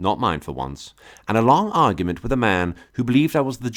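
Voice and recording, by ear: Lively intonation from someone reading aloud in a natural voice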